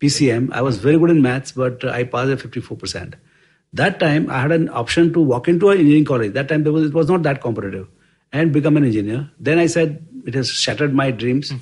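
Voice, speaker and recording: Against a quiet background, a somewhat breathy voice rushes along at a very fast pace with ordinary pitch variation. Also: man. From rural India. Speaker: investment firm co-founder. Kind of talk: interview storytelling. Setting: office. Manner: halting.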